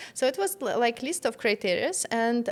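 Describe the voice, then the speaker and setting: With a Russian accent and a high pitch, a woman talks at a moderate pace in a very clean recording with a silent background. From Russia, Moscow. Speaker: entrepreneur, business strategist. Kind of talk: interview. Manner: halting.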